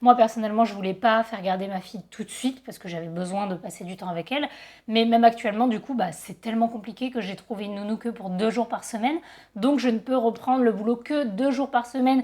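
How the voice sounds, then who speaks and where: At a very fast pace, a woman talks with fairly high pitch and big swings in loudness. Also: ordinary pitch variation, very clean recording, silent background. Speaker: photographer and YouTuber. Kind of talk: casual vlog talk.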